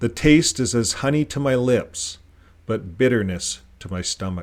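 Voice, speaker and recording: A man speaks at a moderate pace in a put-on character voice with a medium pitch. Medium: read story.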